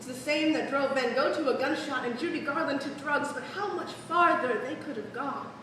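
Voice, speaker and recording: A woman's high voice at a moderate pace with hardly any pauses, over noticeable background noise. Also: ordinary pitch variation. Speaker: spoken word poet. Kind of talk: spoken word poetry performance. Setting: live stage.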